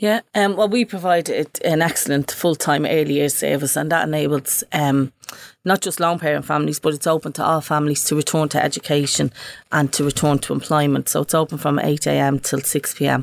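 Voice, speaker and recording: A woman with a Dublin accent talks at a fairly quick pace in a very deep, low pitch with vocal fry. Her loudness stays very even and her pitch variation ordinary, in a very clean recording with a silent background. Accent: Dublin Irish. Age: 50s. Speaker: community project coordinator. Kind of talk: casual chat.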